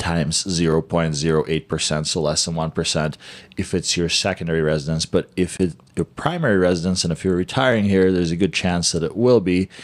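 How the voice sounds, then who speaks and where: A man with an American accent speaks at a moderate pace. His pitch is very deep and low, with fairly even intonation. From US Midwest, Chicago. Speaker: real estate agent; real estate agent co-host. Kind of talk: presentation. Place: studio. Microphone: studio mic.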